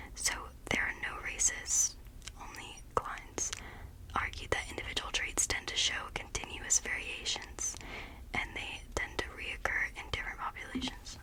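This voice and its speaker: Noticeable background noise accompanies the recording. A woman whispers at a moderate pace. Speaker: ASMR creator. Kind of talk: ASMR study-with-me ramble. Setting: far from microphone. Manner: whispered.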